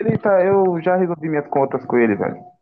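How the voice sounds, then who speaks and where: Lively intonation and a fairly quick pace mark this man's high voice. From Brazil, Cuiabá (Mato Grosso). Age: young. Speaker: podcast co-host and editor. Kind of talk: casual chat.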